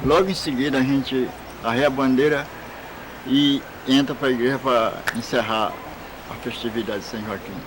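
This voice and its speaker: A man with a fairly high voice at a fairly slow pace, amid noticeable background noise. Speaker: community elder and religious festival leader. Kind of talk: interview answers.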